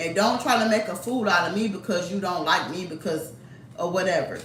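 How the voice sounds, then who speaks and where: A woman speaks at a moderate pace with ordinary pitch variation. Her voice carries audible room echo and noticeable background noise. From Detroit, US Midwest. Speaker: YouTuber. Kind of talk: casual storytime monologue. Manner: animated.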